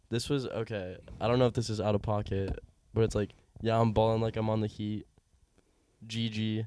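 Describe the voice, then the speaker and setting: A dark, mellow tone moves at a fairly quick pace in a monotone, flat delivery broken by long, frequent pauses. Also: man, medium pitch for a man. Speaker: guest. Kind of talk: casual chat.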